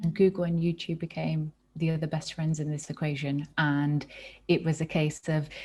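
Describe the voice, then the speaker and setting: A woman with a British accent speaks in a very deep, low voice with a dark, mellow tone, somewhat breathy. Her delivery is moderate in pace and flat in a monotone, over a quiet background. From England, Birmingham. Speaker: nonprofit co-founder. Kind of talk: casual chat.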